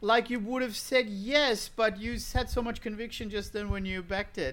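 Bright and sharp in tone, a man's raised, projected voice sits at an extremely high pitch, in an Australian accent. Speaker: comedian. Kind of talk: casual comedy panel chat.

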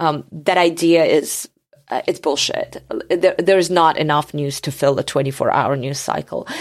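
Fairly even intonation at a moderate pace, in a Georgian accent. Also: woman, very deep, low pitch for a woman. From Georgia (country). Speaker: journalist. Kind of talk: interview.

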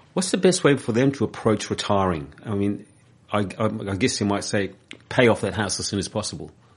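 Fairly quick and fairly low-pitched, a man speaks with a New Zealand accent and lively intonation. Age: 60s. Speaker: community radio host. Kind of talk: radio interview. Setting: radio studio.

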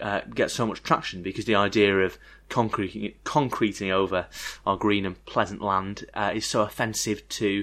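A man speaks in a northern English accent at a moderate pace, his fairly low voice bright and sharp in tone. His intonation stays fairly even against a quiet background. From northern England. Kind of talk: casual chat.

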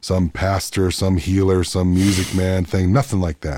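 A man's very deep, low voice with a dark, mellow tone, at a fairly quick pace, on a very clean recording with a silent background. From Canada, Manitoba, Peguis First Nation. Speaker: singer-songwriter. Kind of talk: casual interview. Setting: studio.

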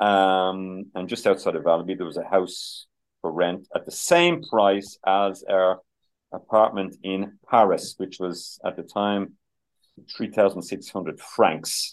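In a Dublin accent, a man with a fairly low pitch speaks at a very slow pace with fairly even intonation. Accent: Dublin Irish. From Ireland, Dublin (Finglas, Glasnevin). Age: 60s. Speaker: musician and former chef. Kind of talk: interview. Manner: halting, many fillers.

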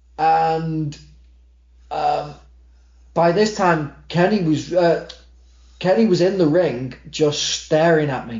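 In an American accent, the speaker talks at a very slow pace with long, frequent pauses, ordinary pitch variation and audible room echo. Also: man, fairly high pitch for a man. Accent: Mancunian, may drift American. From Manchester, England. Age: 30s. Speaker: wrestling ring announcer. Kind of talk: casual chat.

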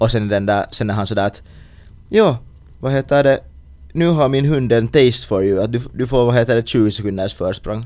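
Dark, mellow tone from a man at a medium pitch. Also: ordinary pitch variation, moderate pace. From Finland. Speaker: podcast co-host. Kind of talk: casual chat.

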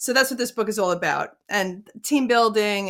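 A woman has an unremarkable speaking voice at medium pitch with ordinary pitch variation. She talks at a moderate pace on a very clean recording with a silent background. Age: 50s. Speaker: entrepreneur and life coach. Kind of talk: interview.

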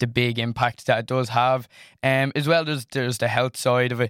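A man with an Irish accent talks at a fairly quick pace and a medium pitch. The sound is dry and close with no echo, on a very clean recording with a silent background. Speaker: college student. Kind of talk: student panel discussion. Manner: halting, repeats words.

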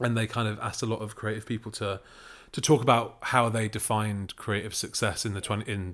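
A man talks at a very fast pace in a fairly low, flat, monotone voice. The recording is very clean with a silent background. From Manchester, northern England. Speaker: podcast creator and writer-director. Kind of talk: interview.

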